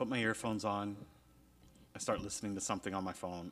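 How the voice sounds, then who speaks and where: This is a man speaking. His pitch is fairly low. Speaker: podcast co-host. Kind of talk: casual chat. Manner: loud.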